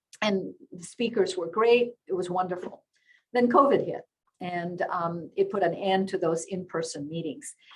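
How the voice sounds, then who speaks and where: A woman at medium pitch talks at a moderate pace with ordinary pitch variation. Her voice is somewhat breathy and swings widely in loudness. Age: 70s. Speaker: interview host and network founder. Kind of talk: webinar interview.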